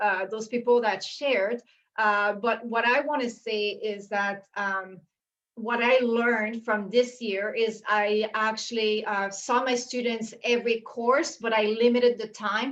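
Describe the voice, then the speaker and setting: With a Quebec accent, a woman speaks at a fairly slow pace and a fairly high pitch. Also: fairly even intonation. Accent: French Canadian accent in English. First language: French. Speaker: university instructor. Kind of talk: panel discussion on video call. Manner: halting, with many fillers.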